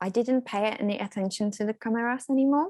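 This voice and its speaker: With a Czech accent, a woman speaks with ordinary pitch variation in a dry, close sound with no echo over a quiet background. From Czech Republic. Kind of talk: interview. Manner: occasional pauses.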